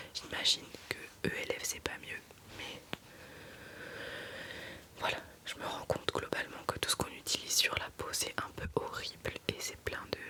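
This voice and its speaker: Noticeable background noise sits behind a woman whispering at a fairly slow pace. She leaves long, frequent pauses. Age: 20s. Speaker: ASMR creator. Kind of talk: ASMR makeup talk to camera. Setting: studio. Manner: casual, conversational, slightly complaining.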